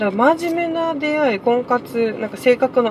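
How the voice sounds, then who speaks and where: A woman at a moderate pace, with very wide pitch swings and noticeable background noise. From Okinawa. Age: 30s. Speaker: podcaster. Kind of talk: casual solo monologue. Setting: in a car.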